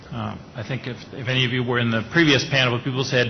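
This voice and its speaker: Over noticeable background noise, a man with a medium-pitched voice talks at a very fast pace. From Austria. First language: German. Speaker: management consultant, panelist. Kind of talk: panel discussion.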